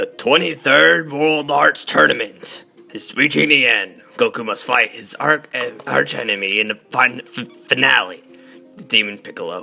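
A man uses a put-on character voice at a fairly high pitch, with faint music in the background. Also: moderate pace. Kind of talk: trailer-style announcer. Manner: dramatic, epic.

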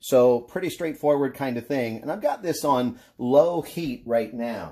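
At a fairly slow pace, a man speaks in a dark, mellow tone with ordinary pitch variation. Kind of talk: tutorial. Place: kitchen.

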